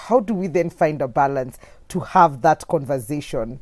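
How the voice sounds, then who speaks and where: A woman's dark, mellow tone with very wide pitch swings at a moderate pace, in a very clean recording with a silent background. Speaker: talk show host. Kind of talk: casual interview. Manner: bubbly, loud.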